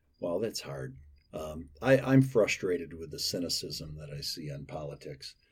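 A man's very deep, low voice, somewhat breathy, with big swings in loudness at a moderate pace. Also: lively intonation. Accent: American. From western Michigan. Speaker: former state lawmaker. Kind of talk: interview.

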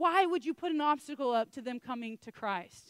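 A loud voice with lively intonation speaks at a moderate pace in a dry, close sound with no echo. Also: woman. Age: 30s. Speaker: preacher. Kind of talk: sermon.

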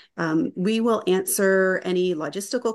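A plain, everyday voice from a woman with a Canadian accent, medium in pitch against a quiet background. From Niagara Falls, Ontario, Canada. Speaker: webinar host. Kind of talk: webinar hosting.

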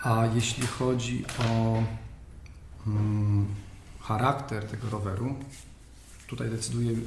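A man's medium-pitched voice, very slow and monotone, with long, frequent pauses, audible room echo and noticeable background noise. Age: 40s. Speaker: podcast host, cycling journalist. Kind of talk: interview.

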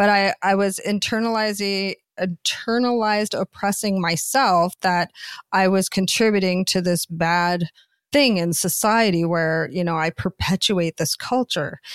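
A woman with a Canadian accent and an unremarkable speaking voice, medium in pitch with ordinary pitch variation, at a fairly slow pace, in a dry, close sound with no echo on a very clean recording with a silent background. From Canada. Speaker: author and adult performer. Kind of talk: interview conversation.

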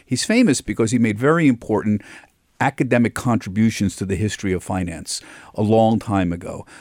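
An ordinary speaking voice from a man, fairly low in pitch with ordinary pitch variation, at a fairly quick pace on a very clean recording with a silent background. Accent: American. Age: 60s. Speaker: financial TV correspondent. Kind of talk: radio interview. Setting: studio.

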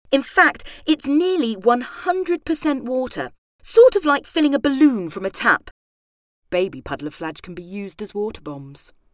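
A woman with a high pitch speaks at a moderate pace in a playful, animated tone. Her pitch swings very widely, her loudness shifts a lot, and the sound is dry and close with no echo. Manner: playful, animated delivery with comic emphasis.

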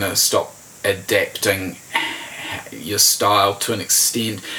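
Noticeable background noise sits behind this recording. A man speaks with a New Zealand accent. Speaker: journalist. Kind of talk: casual interview.

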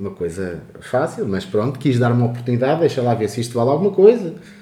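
This man's voice sits at a medium pitch. The room adds an audible echo. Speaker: podcast host. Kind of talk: casual chat.

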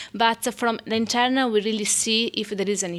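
Speaking at a fairly quick pace, a woman with an Italian accent has a fairly high pitch. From Italy. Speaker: midwife. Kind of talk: interview. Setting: hospital birthing room.

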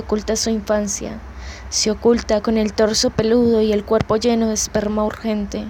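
A woman's fairly high, monotone, flat voice at a fairly slow pace, amid noticeable background noise. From Colombia, Bogotá. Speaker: poet. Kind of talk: poetry reading.

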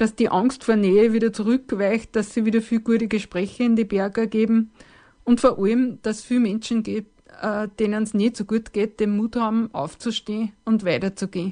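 Over a quiet background, a woman speaks in a fairly high voice with a dark, mellow tone. Her pace is moderate and her intonation fairly even. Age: 50s. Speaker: hiker sharing personal story. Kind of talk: personal testimony.

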